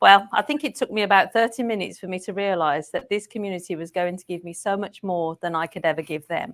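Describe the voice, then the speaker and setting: Very fast and with hardly any pauses, a woman with a slight English accent speaks at a medium pitch with ordinary pitch variation and big swings in loudness, in a very clean recording with a silent background. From England. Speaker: care management program manager. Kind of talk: podcast interview.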